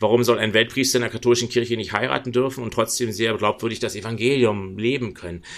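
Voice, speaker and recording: Speaking at a very fast pace with hardly any pauses, a man keeps a medium pitch and fairly even intonation. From Berlin, Germany. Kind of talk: interview conversation.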